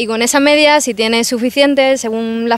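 Delivered at a moderate pace, it is a plain, everyday voice with ordinary pitch variation. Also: woman. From Seville, Andalusia, Spain. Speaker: university journalism student. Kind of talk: street interview answers. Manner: casual, conversational.

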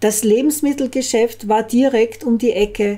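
A woman talks at a very slow pace with fairly even intonation. The background is quiet. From Austria. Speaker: storyteller. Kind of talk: reading aloud. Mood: calm, even storytelling. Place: home room. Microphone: studio mic.

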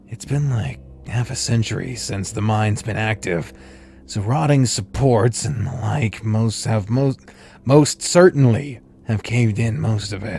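A man does a raspy, put-on character voice at a medium pitch with lively intonation, a moderate pace and long, frequent pauses, with faint music in the background. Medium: game stream. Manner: terse, guarded.

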